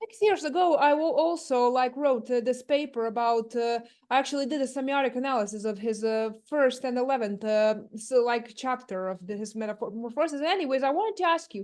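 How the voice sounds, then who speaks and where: A woman with a Croatian accent talks at a fairly quick pace. Her voice is high-pitched, with lively intonation. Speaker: audience member. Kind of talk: audience question.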